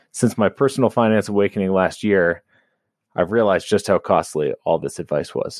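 A man with a plain, everyday voice talks at a fairly quick pace, with a fairly low pitch and ordinary pitch variation. The sound is dry and close with no echo, over a quiet background. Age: 30s. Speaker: lawyer, caller. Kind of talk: recorded voicemail question.

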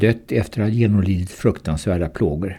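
A man's somewhat breathy voice, dark and mellow in tone, at a moderate pace with ordinary pitch variation. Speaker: retired surgeon and cancer patient. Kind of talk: reading aloud a personal account.

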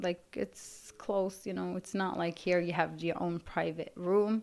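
Very slow female speech, fairly low in pitch. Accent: Arabic. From Yemen. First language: Arabic. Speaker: refugee survivor. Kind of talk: testimony. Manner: halting.

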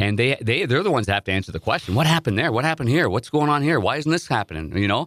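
A man's voice with very wide pitch swings, dry and close with no echo. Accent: Ontario. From Ontario, Canada (Nepean, near Ottawa). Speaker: hockey broadcast analyst and former goalie. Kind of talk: interview storytelling. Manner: animated.

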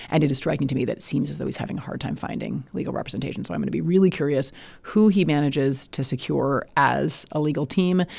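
A woman's very deep, low voice with vocal fry and lively intonation, in an American accent, at a very fast pace on a very clean recording with a silent background. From US Midwest (Illinois). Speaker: law professor and legal analyst. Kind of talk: conversational interview. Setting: studio.

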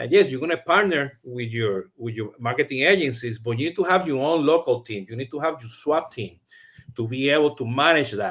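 In a Puerto Rican accent, a man speaks at a fairly high pitch with lively intonation and big swings in loudness. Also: fairly quick pace. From Puerto Rico. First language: Spanish. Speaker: CRM podcast host. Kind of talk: live-streamed interview. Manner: many fillers and repetitions.

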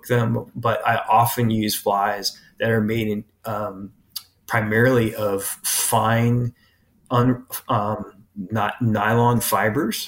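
A man with an American accent, medium pitch, flat monotone intonation and a very slow pace. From US Pacific Northwest, Portland Oregon. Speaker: biology professor. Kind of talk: interview. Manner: halting.

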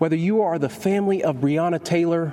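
Lively intonation from a fairly high-pitched man, with noticeable background noise. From Kentucky. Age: 30s. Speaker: state attorney general. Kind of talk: prepared political speech.

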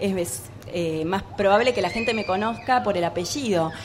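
Amid noticeable background noise, a woman speaks at a moderate pace with a medium pitch and ordinary pitch variation. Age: 30s. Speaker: actress and singer. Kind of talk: radio interview. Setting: live radio at a book fair with audience.

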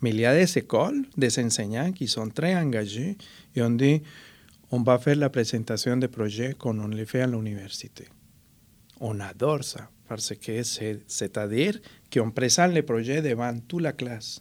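A man at a medium pitch with a Spanish accent, very slow with long, frequent pauses and ordinary pitch variation, in a very clean recording with a silent background. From Colombia. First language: Spanish (speaking French). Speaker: artist and cultural mediator. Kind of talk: interview.

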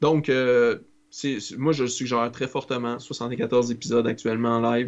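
A man talks at a moderate pace and medium pitch, his intonation monotone and flat. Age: 30s. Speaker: podcast host. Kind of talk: casual chat.

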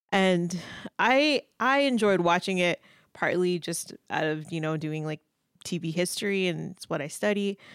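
In a very clean, dry, close recording with no echo and a silent background, a woman with an unremarkable speaking voice talks at a moderate pace in a fairly low pitch with lively intonation. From Indianapolis, Indiana. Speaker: professor of media studies. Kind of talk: casual chat.

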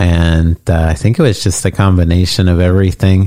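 In a very clean recording with a silent background, a man with a very deep, low pitch speaks at a fairly slow pace. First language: English (speaking Spanish). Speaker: podcast host's husband. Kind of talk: casual chat. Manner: hesitant.

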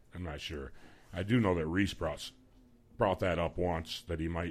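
Booming and very deep, a man's low voice carries a Midwestern US accent. His tone is relaxed and upbeat, at a fairly quick pace. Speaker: radio host. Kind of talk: radio DJ patter, chatty live hosting with banter and station IDs. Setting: radio studio. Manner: relaxed, chatty, jokey, upbeat.

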